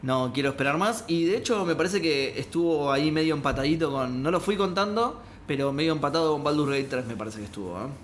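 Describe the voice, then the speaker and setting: Amid audible room echo, a man with a fairly high pitch rushes along at a very fast pace with lively intonation and hardly any pauses. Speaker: video game podcast co-host. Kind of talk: casual chat. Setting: studio.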